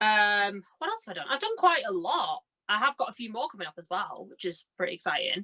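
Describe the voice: A woman at medium pitch with a bright, sharp tone, big pitch swings and a fairly quick pace, in a dry, close sound with no echo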